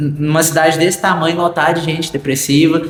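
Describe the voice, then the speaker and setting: A man with a fairly high voice keeps a moderate pace while noticeable background noise fills the recording. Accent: rural Brazilian. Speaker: podcast host. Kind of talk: casual chat.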